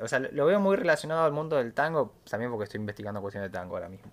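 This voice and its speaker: The man's intonation is lively. He speaks at a very fast pace. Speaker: music podcast host. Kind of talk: casual chat.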